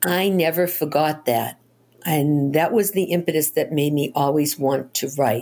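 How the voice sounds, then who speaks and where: A woman's very deep, low voice, dark and mellow in tone, with very even loudness. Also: ordinary pitch variation, fairly slow pace. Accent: American. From Boston. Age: 70s. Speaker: novelist. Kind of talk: interview. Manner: animated.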